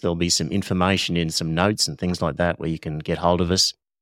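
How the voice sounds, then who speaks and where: Very deep, low male voice with an Australian accent. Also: very clean recording, silent background. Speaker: art supplies podcast host. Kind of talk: casual educational chat.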